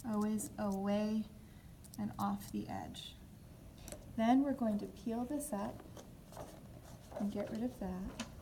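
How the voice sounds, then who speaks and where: With long, frequent pauses, a woman speaks at a very slow pace amid audible room echo and noticeable background noise. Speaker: design instructor. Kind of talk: tutorial.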